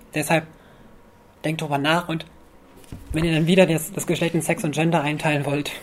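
Monotone and flat, a woman's very deep, low voice moves at a fairly quick pace, broken by long, frequent pauses. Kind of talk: lecture. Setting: stage with audience. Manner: quiet, may get quieter.

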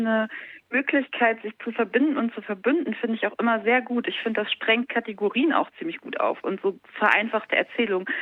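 A woman's unremarkable speaking voice, fairly high in pitch, at a fairly quick pace. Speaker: guest calling in. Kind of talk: casual chat. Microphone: bad reception.

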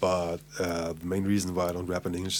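This speaker is a man with a German accent. He talks at a moderate pace. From Hamburg, Germany. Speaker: English teacher. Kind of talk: casual chat.

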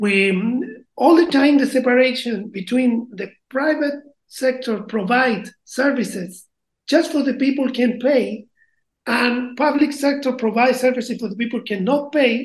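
A woman speaks with a Chilean accent at a high pitch. Her pace is fairly slow and her pitch variation is ordinary. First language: Spanish. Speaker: band member and project founder. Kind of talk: casual interview. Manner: halting, with frequent fillers.

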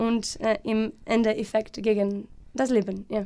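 With a Portuguese accent, a woman speaks at a fairly high pitch. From Portugal, Alcobaça (west coast). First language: Portuguese (speaking German). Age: 30s. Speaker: environmental NGO worker. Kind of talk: radio interview. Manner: halting, many fillers and repetitions.

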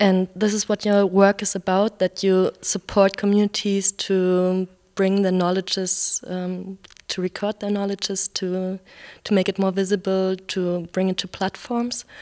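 With a German accent, a woman speaks at a fairly slow pace in a medium pitch, her dark, mellow tone monotone and flat, the sound dry and close with no echo. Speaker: radio reporter. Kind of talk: interview; scripted narration.

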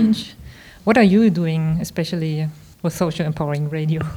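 A woman speaks in a German accent at a moderate pace. Her tone is dark and mellow, with ordinary pitch variation. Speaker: radio host. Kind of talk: radio interview. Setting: radio station project room.

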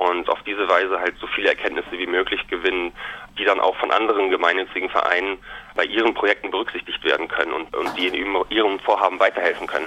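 Against noticeable background noise, a man with a fairly low pitch talks at a very fast pace in a monotone, flat intonation. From Germany, Münster (Westphalia). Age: 30s. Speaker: business student. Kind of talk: interview.

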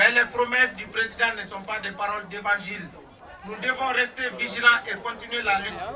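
Noticeable background noise sits behind a man with a high pitch who speaks in a raised, projected voice at a moderate pace, his intonation monotone and flat while his loudness swings widely. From Mali. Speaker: village community representative, activist. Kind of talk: rally speech. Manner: formal.

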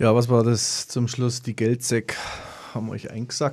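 A man's medium-pitched voice at a moderate pace. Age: 50s. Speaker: community radio host. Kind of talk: radio panel discussion. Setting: radio studio.

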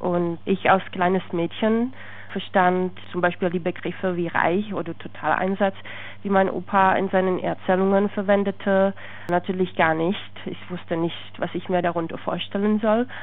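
Her pitch sits in the medium range, and a woman talks at a moderate pace. The intonation stays monotone and flat. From Czech Republic. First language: Czech (speaking German). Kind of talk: interview testimony.

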